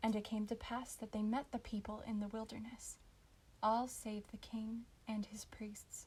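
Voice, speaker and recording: A woman speaks with monotone, flat intonation. Her voice is somewhat breathy. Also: fairly high pitch for a woman, moderate pace. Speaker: audiobook narrator. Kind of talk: scripture audiobook reading. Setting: home recording, non-professional microphone. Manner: expressive, storytelling.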